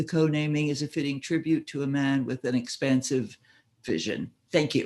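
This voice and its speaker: An ordinary speaking voice, a man's at fairly high pitch, with fairly even intonation and a fairly quick pace. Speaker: community member presenting a street co-naming request. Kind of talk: reading a prepared presentation. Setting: video call.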